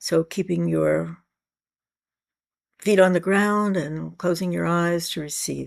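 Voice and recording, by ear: A raspy woman's voice with vocal fry, a slightly mellow tone and a slow pace. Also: fairly low pitch for a woman, ordinary pitch variation.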